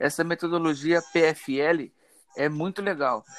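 In a plain, everyday voice, a man with a fairly high pitch talks at a fairly slow pace, the sound dry and close with no echo. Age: 20s. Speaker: engineering student. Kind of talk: student class presentation.

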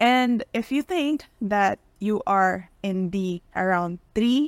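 The sound is dry and close-miked, without any echo. A woman talks at a medium pitch. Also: very clean recording, silent background. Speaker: podcast co-host. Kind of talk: casual chat. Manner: loud.

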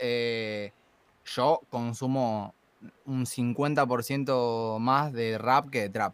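The speaker has an Argentine accent and keeps the intonation fairly even. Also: man. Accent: Argentine Spanish (Rioplatense). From Argentina. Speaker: trap musician and freestyle rapper. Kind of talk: casual interview chat.

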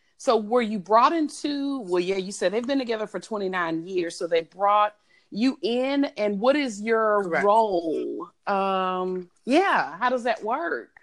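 In a Southern US accent, a woman with a fairly high pitch speaks at a fairly slow pace with lively intonation and hardly any pauses. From Mississippi Gulf Coast. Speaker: business consultant. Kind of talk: casual chat.

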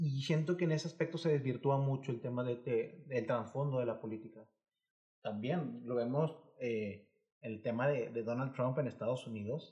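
A man speaks at a moderate pace in a somewhat breathy, dark, mellow tone, with medium pitch and ordinary pitch variation. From Mexico, Monterrey area (Nuevo León). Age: 20s. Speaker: podcast co-host. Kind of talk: casual chat.

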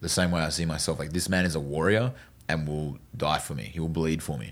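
Speaking in an Australian accent, the man has a very deep, low pitch. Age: 20s. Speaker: door-to-door sales manager and podcast host. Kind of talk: casual interview chat.

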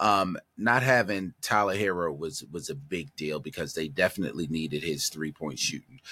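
At a moderate pace and with hardly any pauses, a man speaks in a very deep, low voice with a bright, sharp tone and lively intonation, recorded very cleanly over a silent background. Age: 50s. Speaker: sports podcast co-host. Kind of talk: casual sports chat.

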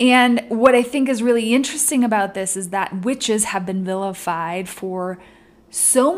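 A woman has an ordinary speaking voice with a fairly high pitch. She talks at a moderate pace with lively intonation. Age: 30s. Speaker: podcast host. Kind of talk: casual solo monologue.

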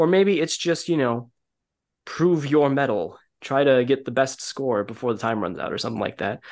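A man in a normal speaking voice talks at a medium pitch and moderate pace, with ordinary pitch variation against a quiet background. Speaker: podcast co-host. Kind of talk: casual chat.

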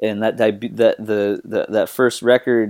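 A man speaks in an unremarkable speaking voice, fairly low-pitched with ordinary pitch variation at a moderate pace, in a very clean recording with a silent background and a dry, close sound with no echo. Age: 20s. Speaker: guitarist and singer. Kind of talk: casual chat.

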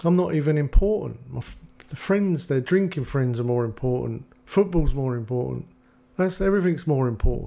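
The speaker has an English accent, a dark, mellow tone and lively intonation. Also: man, fairly high pitch for a man. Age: 50s. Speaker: addiction recovery counsellor. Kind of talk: casual chat.

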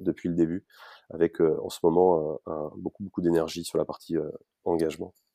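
At a moderate pace, the voice comes through in a very clean recording with a silent background and a dry, close sound with no echo. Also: man. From Paris region, France. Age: 40s. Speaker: startup founder. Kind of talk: interview. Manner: hesitant with repetitions.

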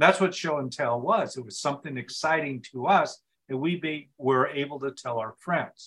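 A man's fairly high-pitched voice, an ordinary speaking voice, at a moderate pace with ordinary pitch variation. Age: 60s. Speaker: speaking coach and author. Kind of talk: interview conversation.

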